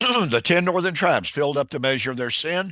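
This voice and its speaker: A man talks at a moderate pace with lively intonation, a bright, sharp tone and vocal fry. The sound is dry and close with no echo, over a quiet background. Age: 70s. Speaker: Bible teacher and radio host. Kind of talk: casual chat; bible teaching.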